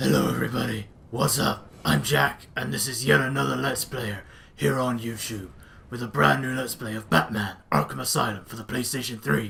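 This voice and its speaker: Putting on a character voice, a man speaks at medium pitch and a moderate pace, raspy and strained, with very wide pitch swings. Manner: put-on, strained.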